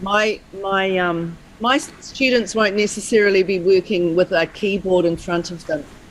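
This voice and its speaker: Noticeable background noise sits under a woman's medium-pitched voice, which moves at a moderate pace with ordinary pitch variation. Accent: New Zealand. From New Zealand. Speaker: music teacher. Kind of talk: webinar question. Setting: video call.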